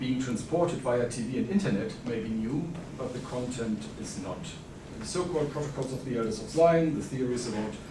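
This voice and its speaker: A man with a German accent speaks at a fairly quick pace in a medium pitch, his pitch varying in an ordinary way, with audible room echo and noticeable background noise. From Germany. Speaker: historian. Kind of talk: conference talk. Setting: conference panel with audience.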